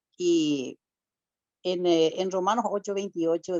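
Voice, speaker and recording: Fairly low pitch from a woman, with ordinary pitch variation. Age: 60s. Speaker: church speaker giving testimony. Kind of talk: testimony. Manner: emotional.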